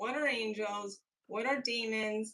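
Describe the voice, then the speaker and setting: This woman speaks with an American accent. Her pitch is medium, with ordinary pitch variation. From upstate New York. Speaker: painter and livestream co-host. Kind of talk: casual chat while painting on a livestream. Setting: livestream with a remote co-host.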